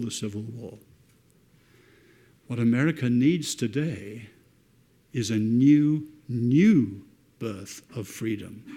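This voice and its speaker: In a British accent, a man speaks at a medium pitch with a dark, mellow tone and ordinary pitch variation. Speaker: author, speaker. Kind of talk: lecture.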